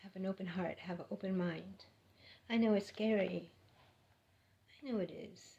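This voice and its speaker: With vocal fry and a dark, mellow tone, a woman speaks at a fairly slow pace and a medium pitch, with ordinary pitch variation. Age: 60s. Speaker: spiritual vlogger. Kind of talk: spiritual monologue. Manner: animated.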